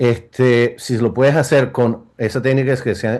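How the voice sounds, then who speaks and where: Against a quiet background, a man with a medium pitch and a dark, mellow tone speaks fairly slowly. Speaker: interventional cardiologist. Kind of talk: medical symposium panel discussion.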